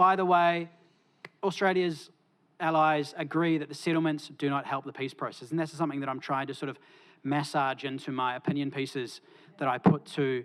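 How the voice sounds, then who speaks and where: With a New Zealand accent and a fairly high pitch, a man talks at a fairly quick pace and with fairly even intonation on a very clean recording with a silent background. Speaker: academic panellist. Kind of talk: conference talk. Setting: conference stage with audience. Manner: hesitant with fillers.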